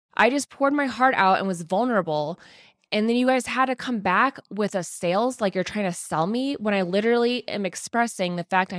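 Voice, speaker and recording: In a very clean recording with a silent background and a dry, close sound free of echo, a woman speaks in an animated tone at a moderate pace with ordinary pitch variation. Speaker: podcast host. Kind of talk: casual solo monologue. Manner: high energy, animated.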